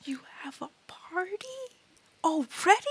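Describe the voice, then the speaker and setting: A high-pitched, put-on character voice moves along at a moderate pace. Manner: shocked.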